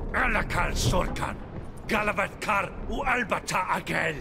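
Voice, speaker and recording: A man speaks at a moderate pace in a high-pitched, put-on character voice over loud background noise. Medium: video game. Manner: harsh, commanding.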